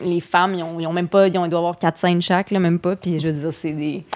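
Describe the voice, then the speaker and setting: A woman talks at a fairly low pitch in a normal speaking voice. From Quebec City suburbs. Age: 30s. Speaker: comedian and screenwriter. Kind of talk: casual chat.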